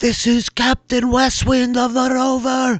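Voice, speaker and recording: A man puts on a character voice with an extremely high pitch at a fairly slow pace. The sound is dry and close, with no echo. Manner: commanding, threatening.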